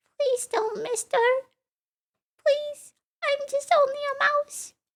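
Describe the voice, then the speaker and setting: In a squeaky put-on character voice with extremely high pitch, the speaker moves at a fairly slow pace. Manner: frightened, pleading.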